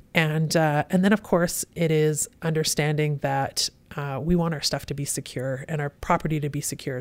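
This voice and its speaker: A woman with a very deep, low voice speaks at a fairly quick pace in a Western Canadian accent. The recording is very clean, with a silent background. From Western Canada (Kelowna, British Columbia). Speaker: police superintendent. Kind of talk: interview.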